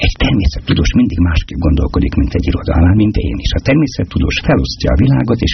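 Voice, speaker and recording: Through noticeable background noise, a man with a very deep, low pitch talks very fast with hardly any pauses and very even loudness. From Hungary, Budapest. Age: 60s. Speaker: poet. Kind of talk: interview.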